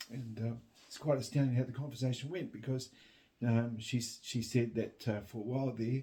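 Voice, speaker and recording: A man with a New Zealand accent, somewhat breathy, with a dark, mellow tone at medium pitch, fairly even intonation, big swings in loudness and a fairly quick pace. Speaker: vlogger. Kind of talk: casual chat. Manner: halting.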